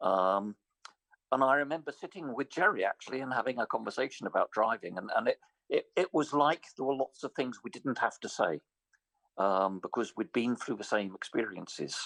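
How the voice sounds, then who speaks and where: With a dry, close sound and no echo, a man speaks at medium pitch and a moderate pace, his intonation lively. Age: 60s. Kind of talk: conference interview. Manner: halting, repeats words.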